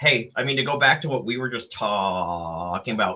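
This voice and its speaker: A man's bright, sharp voice with vocal fry, at a moderate pace. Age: 30s. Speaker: podcast host. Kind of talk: casual chat.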